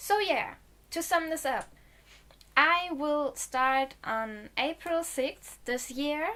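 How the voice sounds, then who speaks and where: Very slow speech in a German accent, with lively intonation. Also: woman. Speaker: video blogger. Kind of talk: casual vlog talk to camera.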